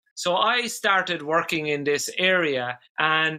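With an Irish accent, a man talks in a fairly high pitch with a bright, sharp tone. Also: very clean recording, silent background. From Ireland, rural village. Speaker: dance therapist. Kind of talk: interview conversation.

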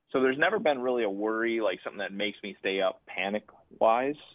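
A man with fairly even intonation and a plain, everyday voice. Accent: American. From Marinette, northern Wisconsin. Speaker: baseball academy founder, former pro player. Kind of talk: radio interview.

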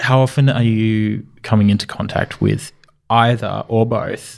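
Speaking at a fairly slow pace, a man with an Australian accent keeps a medium pitch and fairly even intonation. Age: 30s. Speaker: podcast co-host. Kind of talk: casual chat.

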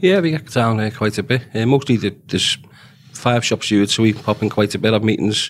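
A man with a Liverpool accent talks at a fairly quick pace in a very clean recording with a silent background. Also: medium pitch for a man, ordinary pitch variation. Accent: Liverpool (Scouse). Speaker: dock worker and shop steward. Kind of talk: interview. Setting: studio.

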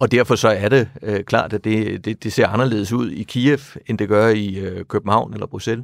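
Delivered at a moderate pace with fairly even intonation, the voice sits in a dry, close sound with no echo on a very clean recording with a silent background. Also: man, fairly low pitch for a man. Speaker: retired diplomat. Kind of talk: interview. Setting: studio. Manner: halting.

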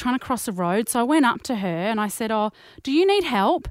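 Her pitch fairly high and her intonation lively, a woman talks with an Australian accent in a very clean recording with a silent background. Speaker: podcast co-host. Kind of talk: casual chat.

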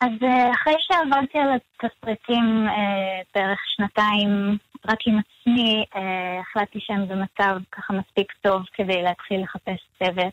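A woman speaks with fairly even intonation and few pauses. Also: medium pitch for a woman, dry, close sound with no echo.

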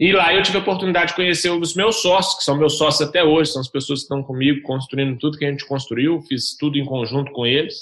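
A man's fairly high voice races along at a very fast pace with ordinary pitch variation. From Belo Horizonte, Minas Gerais, Brazil. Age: 30s. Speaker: startup founder. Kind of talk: interview.

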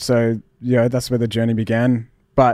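A man with an Australian accent talks at a fairly quick pace against a quiet background. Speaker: musician. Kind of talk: interview.

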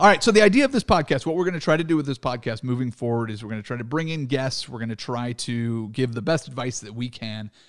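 A man with an American accent talks at a very fast pace and medium pitch, with hardly any pauses. His intonation is lively, his loudness swings widely, and the recording is very clean with a silent background. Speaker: radio host and former comedian. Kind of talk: casual chat.

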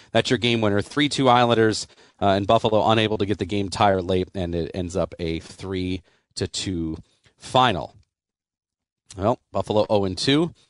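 A normal speaking voice at a moderate pace, with ordinary pitch variation, a dry, close sound with no echo and a quiet background. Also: man, fairly low pitch for a man. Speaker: radio host. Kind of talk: postgame radio show hosting, play-by-play recap of the game's key moments. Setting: studio.

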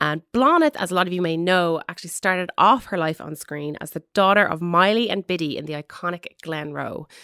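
A woman's fairly low, bright, sharp voice with a Dublin accent, dry and close with no echo, on a very clean recording with a silent background. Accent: Dublin Irish. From Ireland, Dublin. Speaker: entertainment podcast host. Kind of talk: scripted intro. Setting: studio.

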